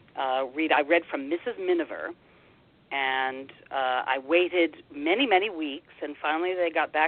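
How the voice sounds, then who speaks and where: At a fairly slow pace, the words come out in an unremarkable speaking voice. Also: woman. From Washington, D.C. area (Air Force family, moved around). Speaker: actress and audiobook narrator. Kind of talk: interview.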